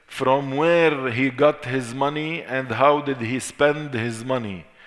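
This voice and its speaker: With an Arabic accent, a man speaks at a fairly slow pace and a medium pitch, with ordinary pitch variation and audible room echo. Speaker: Islamic teacher. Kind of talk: lecture. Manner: repetitive, deliberate.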